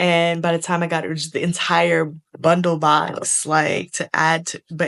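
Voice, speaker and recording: A woman speaks in a New York accent at a fairly low pitch. Her intonation is monotone and flat, over a quiet background. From New York City, Lower East Side Manhattan. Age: 30s. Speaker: vlogger and creative director. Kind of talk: casual vlog chat.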